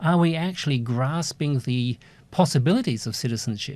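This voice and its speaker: In a very clean recording with a silent background, a man speaks in a plain, everyday voice. His pitch is medium, his pace moderate and his intonation lively. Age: 60s. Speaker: university lecturer. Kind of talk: lecture.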